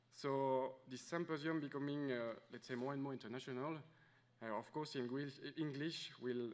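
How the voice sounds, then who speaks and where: The man's pitch sits in the medium range, and his intonation is fairly even. He speaks at a moderate pace with audible room echo. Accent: French. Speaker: conference organizer. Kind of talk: welcome speech. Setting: conference room with audience. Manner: hesitant, many fillers.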